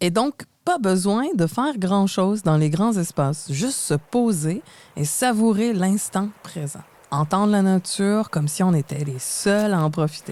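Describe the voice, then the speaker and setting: A woman with a Quebec accent speaks at a fairly slow pace in a medium pitch, her dark, mellow tone carried by lively intonation on a very clean recording with a silent background. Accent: Québécois. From Quebec, Montreal. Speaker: podcast co-host. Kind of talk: scripted podcast conversation.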